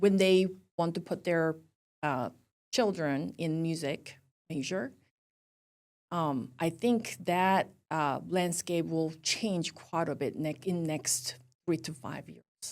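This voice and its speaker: With a Korean accent, a woman speaks at a very slow pace and fairly low pitch, using ordinary pitch variation and long, frequent pauses, on a very clean recording with a silent background. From South Korea. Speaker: university music professor. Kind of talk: interview. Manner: halting, many fillers.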